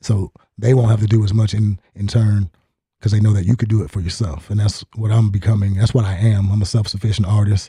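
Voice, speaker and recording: Speaking at a fairly quick pace, a man uses a dark, mellow, somewhat breathy voice, fairly low-pitched with fairly even intonation, recorded dry and close with no echo. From Alaska. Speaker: musician and army veteran. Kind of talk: casual interview. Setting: studio.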